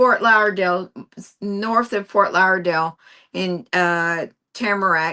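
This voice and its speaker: Against a quiet background, a woman with a West Virginia accent speaks at a fairly slow pace, her medium-pitched voice bright and sharp in tone with ordinary pitch variation. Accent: West Virginia accent, noticeable. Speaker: quilter. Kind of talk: casual chat. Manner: animated.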